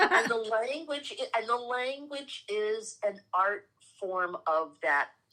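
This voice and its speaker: In a New York accent, a woman speaks very slowly at a fairly high pitch, her tone bright and sharp and her pitch swinging very widely. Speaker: spiritual teacher and reverend. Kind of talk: casual spiritual chat.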